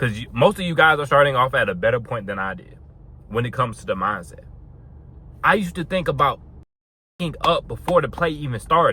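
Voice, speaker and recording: Speaking at a fairly quick pace yet with long, frequent pauses, a man with a fairly high pitch and a bright, sharp tone swings his pitch very widely, with vocal fry throughout. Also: big swings in loudness. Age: 20s. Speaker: fitness vlogger. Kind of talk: casual vlog monologue.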